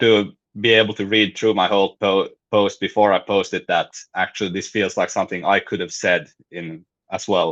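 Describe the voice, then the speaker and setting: This man's fairly low voice moves along at an even, moderate speed. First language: Finnish or Swedish. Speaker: writer and host. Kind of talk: casual chat. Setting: live stream. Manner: halting.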